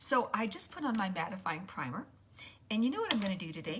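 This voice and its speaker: Speaking at a fairly quick pace, a woman uses lively intonation at a medium pitch. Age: 60s. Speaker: makeup tutorial livestreamer. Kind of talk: livestream makeup tutorial. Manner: casual, chatty with hesitations.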